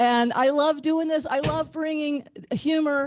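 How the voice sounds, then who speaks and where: A woman talks in an animated tone. She has a slight Ozark accent. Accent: slight Ozark twang. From Ozarks, US. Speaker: comedian. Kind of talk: stand-up. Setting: video call. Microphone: home garage studio.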